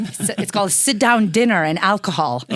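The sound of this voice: Someone with an Eastern European accent talks at a fairly quick pace over noticeable background noise.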